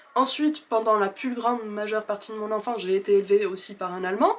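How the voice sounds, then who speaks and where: A woman with a slight southwestern French accent speaks at a fairly quick pace. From southwest France, rural Gers. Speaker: author and video creator. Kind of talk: casual monologue to camera. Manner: hesitant, with many fillers.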